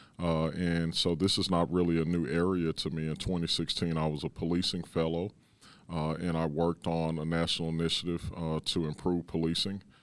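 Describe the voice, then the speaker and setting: A man with a Texan accent speaks at a fairly quick pace in a very deep, low pitch with monotone, flat intonation. His loudness is very even, and the recording is very clean with a silent background. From Dallas, Texas. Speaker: police chief. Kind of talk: interview. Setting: city hall.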